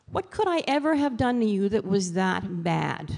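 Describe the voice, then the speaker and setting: Someone with a New York accent speaks at a fairly slow pace, the pitch swinging very widely. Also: woman. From New York City. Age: 60s. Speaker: author and motivational speaker. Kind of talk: motivational talk.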